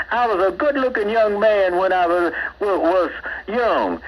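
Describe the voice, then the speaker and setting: Noticeable background noise sits behind a man with a high pitch talking at a moderate pace. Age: 80s+. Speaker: caller. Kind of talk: call-in rant. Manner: animated; repetitive with fillers.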